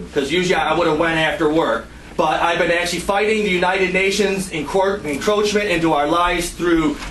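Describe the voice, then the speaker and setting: Noticeable background noise and audible room echo surround a man speaking at a high pitch and a fairly quick pace. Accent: American. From Detroit, US Midwest. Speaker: party member facing charges. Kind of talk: heated meeting testimony. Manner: loud; passionate, animated.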